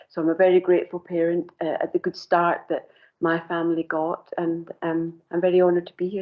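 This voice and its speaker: This voice has a Scottish accent. It moves fairly quickly. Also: woman, fairly low pitch for a woman, monotone, flat intonation. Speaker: committee member, charity administrator. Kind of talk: self-introduction at council meeting.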